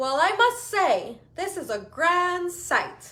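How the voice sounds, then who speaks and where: A woman puts on a character voice at an extremely high pitch, with very wide pitch swings and a very slow pace. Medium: read story.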